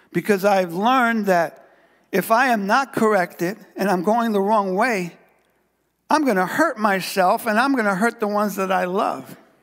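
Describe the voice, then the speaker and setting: Over a quiet background, a man with a high pitch and an animated tone speaks fairly slowly, with ordinary pitch variation and long, frequent pauses. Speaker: pastor. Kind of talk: sermon. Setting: church. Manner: animated, call-and-response preacher; fervent, repeating phrases for emphasis. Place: church.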